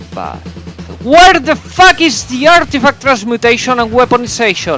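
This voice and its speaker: A man speaks with a non-native accent while music plays in the background. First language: not English. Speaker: video game reviewer. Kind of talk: video game review narration.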